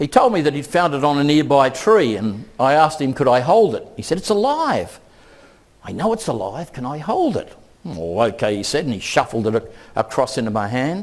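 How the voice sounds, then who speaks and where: A man speaks at a fairly quick pace with fairly high pitch and very wide pitch swings. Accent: Australian. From Australia. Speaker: keynote speaker, education researcher. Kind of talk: conference keynote.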